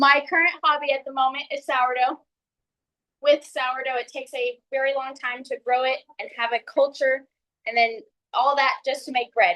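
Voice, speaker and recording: A woman speaks in a raised, projected voice at a high pitch. Her tone is bright and sharp, with fairly even intonation. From Texas, San Antonio and Kerrville. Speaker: real estate agent, new club member. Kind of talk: prepared speech. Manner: uses filler words.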